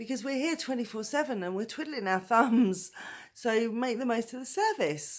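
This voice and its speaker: With a British accent, a woman speaks at a moderate pace. Her pitch is fairly high and her intonation lively. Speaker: domestic violence survivor. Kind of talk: personal story told to camera. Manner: voice wobbles with emotion.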